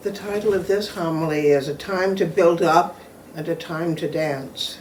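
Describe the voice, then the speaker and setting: At a moderate pace, a woman with a fairly low pitch and fairly even intonation speaks amid noticeable background noise and audible room echo. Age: 70s. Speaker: pastor. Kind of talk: sermon; reading aloud.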